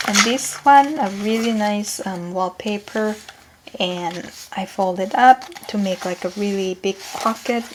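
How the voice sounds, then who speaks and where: Soft-spoken, a woman with a non-native accent talks at a fairly slow pace and medium pitch. Her pitch varies in an ordinary way over noticeable background noise. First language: not English. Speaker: crafting YouTuber. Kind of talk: casual craft tutorial. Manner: halting with frequent fillers.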